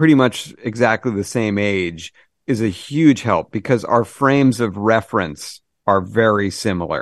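An unremarkable speaking voice: a man at medium pitch with an American accent, a fairly slow pace, and lively intonation. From Massachusetts. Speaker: TV comedy writer. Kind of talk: casual interview chat.

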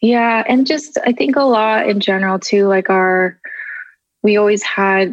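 The speaker talks at a fairly slow pace with a Californian accent. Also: woman. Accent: Californian American English. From Southern California. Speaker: photographer and social media creator. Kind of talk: interview conversation.

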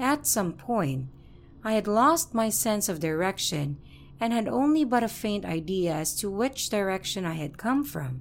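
The pace of this woman's speech is fairly slow. Very wide swings mark her pitch. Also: medium pitch for a woman. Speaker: horror story narrator. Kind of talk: reading aloud a first-person horror story submission. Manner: steady storytelling narration, building suspense.

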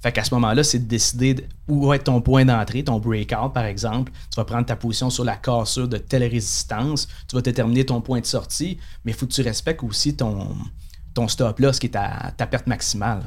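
At a fairly quick pace, a man speaks at a medium pitch with vocal fry and fairly even intonation. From Quebec, Saguenay (Chicoutimi). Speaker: day trader and trading instructor. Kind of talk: casual interview.

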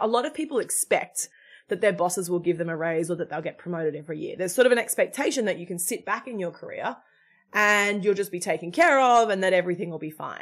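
Talking at a very fast pace, a woman with an Australian accent uses a medium-pitched voice and lively intonation. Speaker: executive coach and founder. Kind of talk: interview.

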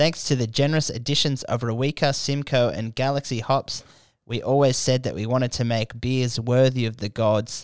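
The man's pitch sits at a medium level, and his pace is moderate. He talks in an Australian accent. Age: 20s. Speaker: comedian and podcast host. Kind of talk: casual chat. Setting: studio. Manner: animated.

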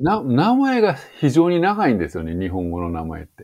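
A man's voice with very wide pitch swings. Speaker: English teacher. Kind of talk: interview.

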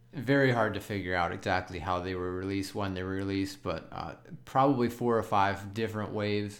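Audible room echo surrounds a man who talks at a fairly quick pace in a fairly low pitch with ordinary pitch variation. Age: 30s. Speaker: podcast co-host. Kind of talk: casual chat.

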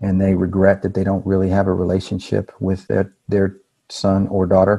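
A man's fairly low, dark and mellow voice with an American accent. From Texas, Houston. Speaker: business consultant. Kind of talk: interview.

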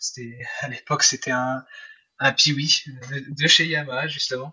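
Speaking in a monotone, flat intonation, a man uses a fairly high pitch. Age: 20s. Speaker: semi-professional motocross rider. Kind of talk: interview.

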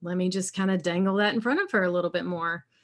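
A woman's medium-pitched voice comes through a very clean recording with a silent background. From South Carolina, US South. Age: 40s. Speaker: alcohol-free coach and podcast host. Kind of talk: casual interview, testimony.

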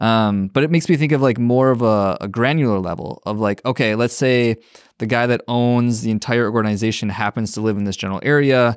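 Against a quiet background, a man with an American accent talks at a fairly quick pace in an ordinary speaking voice. His pitch is medium, with ordinary variation. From Minnesota. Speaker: community builder and content creator. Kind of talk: casual chat.

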